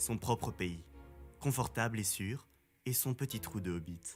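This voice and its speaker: Lively intonation at a fairly slow pace, with music in the background. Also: man. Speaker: voice-over artist. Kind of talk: audiobook reading.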